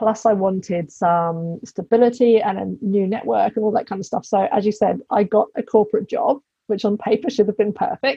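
A woman's fairly high, somewhat breathy voice in a British accent, with ordinary pitch variation at a fairly quick pace. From England. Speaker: business coach. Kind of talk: casual interview chat.

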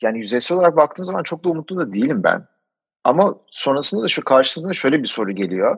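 The speech is very fast, with very wide pitch swings. The recording is very clean, with a silent background. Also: man, fairly high pitch for a man. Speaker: climate podcaster. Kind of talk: interview.

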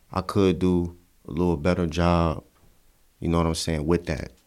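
A man with an American accent speaks at a very deep, low pitch in a monotone, flat intonation. The recording is very clean, with a silent background. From Cleveland, Ohio. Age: 20s. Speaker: rapper. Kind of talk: casual interview.

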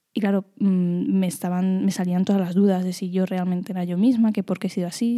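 Caught in a very clean recording with a silent background, a woman speaks at medium pitch with a dark, mellow tone. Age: 20s. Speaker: podcaster. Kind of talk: personal monologue. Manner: halting.

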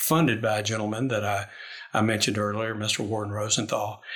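The voice carries a Kentucky accent. It moves at a moderate pace. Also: man. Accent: Kentucky Southern US. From Lexington, Kentucky. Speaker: university administrator. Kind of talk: interview.

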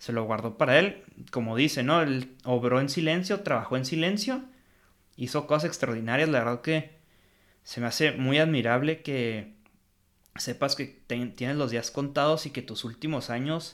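A man speaks with a Mexican accent, a fairly high pitch and ordinary pitch variation at a moderate pace. The recording is very clean, with a silent background. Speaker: film podcast host. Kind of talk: casual film review chat.

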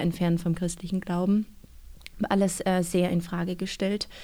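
Monotone and flat in intonation, a woman speaks at a medium pitch with a dark, mellow tone. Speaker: author and church youth worker. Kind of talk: interview.

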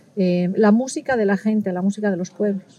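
Somewhat breathy and dark, mellow in tone, a woman's voice sits at a medium pitch with fairly even intonation. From Spain. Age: middle-aged. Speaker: ethnomusicologist and violin teacher. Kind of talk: interview. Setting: recorded at a music festival.

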